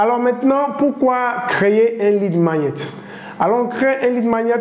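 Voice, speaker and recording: The speech moves at a moderate pace with audible room echo. Noticeable background noise runs underneath. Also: man. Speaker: online business trainer. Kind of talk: tutorial. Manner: hesitant, many fillers.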